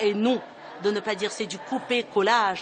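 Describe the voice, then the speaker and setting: Music plays in the background as a woman speaks at a moderate pace. Her pitch is medium with ordinary pitch variation. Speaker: madrasa school founder. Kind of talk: documentary interview. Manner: earnest, emphatic.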